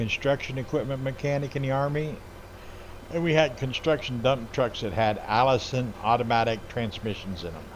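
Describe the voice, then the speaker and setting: There is noticeable background noise as a man speaks at a moderate pace. His pitch is medium, with ordinary variation. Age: 60s. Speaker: gaming streamer, Army veteran. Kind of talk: casual chat while live-streaming a game.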